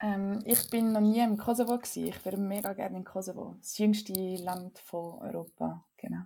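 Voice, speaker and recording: In a dark, mellow tone, the voice runs at a moderate pace with hardly any pauses and a flat, monotone intonation. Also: woman, medium pitch for a woman. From Switzerland, Winterthur. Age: 20s. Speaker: physician and climate activist. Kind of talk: interview conversation.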